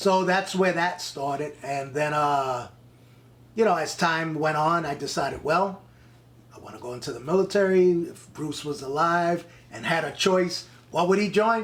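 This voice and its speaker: The speaker has a New York accent and keeps a moderate pace with ordinary pitch variation. Loudness swings widely, and there is audible room echo. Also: man, high pitch for a man. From New York, the Bronx. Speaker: actor and Marine veteran. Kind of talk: casual interview, storytelling. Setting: in person.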